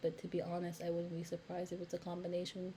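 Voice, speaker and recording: A woman speaks in a fairly low pitch with a dark, mellow tone. Her voice is somewhat breathy. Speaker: YouTube commentator. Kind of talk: reaction commentary. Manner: slow.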